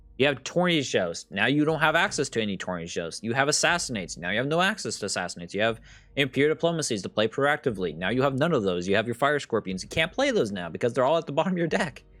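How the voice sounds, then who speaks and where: Very fast speech with hardly any pauses, vocal fry, and very wide pitch swings, on a very clean recording with a silent background. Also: man, medium pitch for a man. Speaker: gaming content creator. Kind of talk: card game review commentary. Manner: casual with many fillers.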